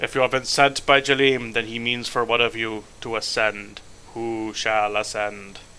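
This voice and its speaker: Over clear background noise, a man does a put-on character voice at a medium pitch and a moderate pace. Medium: actual play. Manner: pompous, formal.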